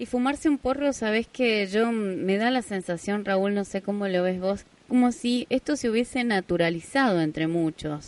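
A woman speaks at a fairly high pitch with very wide pitch swings. The sound is dry and close, with no echo. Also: quiet background. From Argentina, Jáchal, San Juan. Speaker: radio host. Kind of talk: radio interview.

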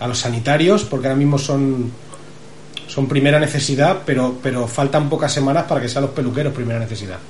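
Fairly quick speech from a man with fairly high pitch, with audible room echo and noticeable background noise. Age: 30s. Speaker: podcast host. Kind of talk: casual chat.

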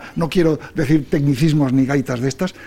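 Noticeable background noise under a medium-pitched male voice. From Spain. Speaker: quality association president and engineer. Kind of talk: radio interview.

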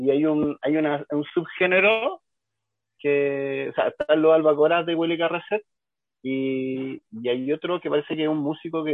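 A man with a plain, everyday voice speaks at a fairly high pitch. His pace is moderate and his intonation fairly even. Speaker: cumbia music expert, radio co-host. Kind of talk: casual radio chat.

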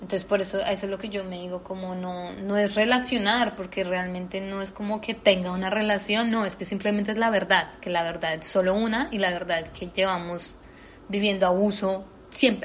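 Over noticeable background noise, a woman speaks with fairly even intonation but big swings in loudness. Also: medium pitch for a woman, moderate pace. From Colombia, Bogotá. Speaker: actress and dancer. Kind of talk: interview conversation.

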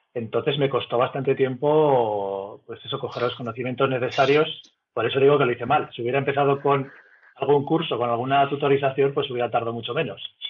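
Here is a man with an unremarkable speaking voice. His pitch is medium. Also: fairly even intonation, fairly quick pace. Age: 40s. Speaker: amateur astrophotographer. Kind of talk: casual interview.

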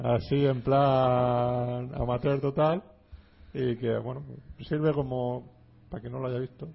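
A man speaks at a very slow pace, with long, frequent pauses. His voice is somewhat breathy and his intonation fairly even. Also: medium pitch for a man. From Alicante, Spain. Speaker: film podcast host. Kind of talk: casual chat. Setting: studio.

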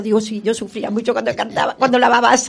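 A woman at a very fast pace with noticeable background noise. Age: old. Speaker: community radio panelist. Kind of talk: community radio show.

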